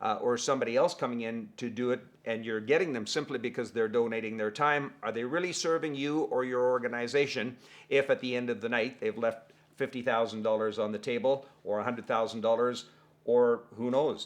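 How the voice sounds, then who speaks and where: Against a quiet background, a man with an ordinary speaking voice talks at a fairly quick pace, his medium pitch held in fairly even intonation. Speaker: fundraising auctioneer. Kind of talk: casual talk to camera.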